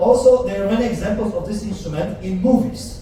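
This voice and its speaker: Amid noticeable background noise and audible room echo, a high-pitched man speaks at a moderate pace. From Poland. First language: Polish. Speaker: cruise ship musician. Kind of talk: live stage show with audience interaction. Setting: stage with audience. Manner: animated.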